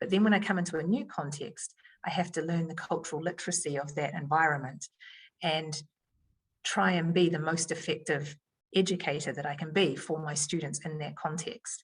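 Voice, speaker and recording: A woman with a New Zealand accent speaks at a fairly quick pace in a somewhat breathy voice, her pitch very deep and low with ordinary variation. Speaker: education leader. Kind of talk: podcast interview answer.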